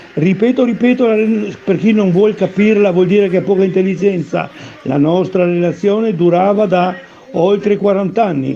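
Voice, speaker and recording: With noticeable background noise, a man with a high pitch talks at a moderate pace, his loudness very even and his pitch variation ordinary. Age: 80s. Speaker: former athlete. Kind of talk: personal testimony. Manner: halting, with repetitions and restarts; emphatic.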